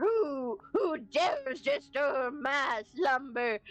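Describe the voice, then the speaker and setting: Growling and gravelly, a female-sounding voice puts on a character voice at a high pitch and a very slow pace. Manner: menacing, theatrical.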